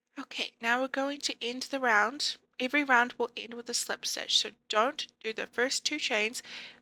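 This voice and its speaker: In a very clean recording with a silent background and a dry, close sound with no echo, a woman speaks fairly slowly at a high pitch, her bright, sharp tone carrying fairly even intonation. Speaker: crochet tutorial creator. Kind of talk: tutorial voiceover.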